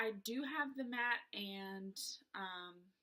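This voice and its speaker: This voice carries a strong Southern US accent. Its tone is bright and sharp, and the pitch varies in an ordinary way. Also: woman. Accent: thick Southern US. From US South, South Georgia. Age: 20s. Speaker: beauty vlogger. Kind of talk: casual chat. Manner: hesitant, many fillers.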